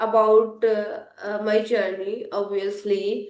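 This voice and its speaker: A woman's fairly high voice with an Indian accent, at a very slow pace, with audible room echo. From India (Hindi-speaking). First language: Hindi. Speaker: English learner and content creator. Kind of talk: interview conversation.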